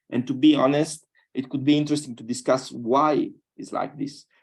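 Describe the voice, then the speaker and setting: Heard in a very clean recording with a silent background, a man with a strong Sardinian accent speaks at a moderate pace. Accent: strong Italian (Sardinian). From Sardinia, Italy (Iglesias). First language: Italian. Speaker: scientist, panelist. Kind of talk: panel discussion. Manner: halting, with many repetitions.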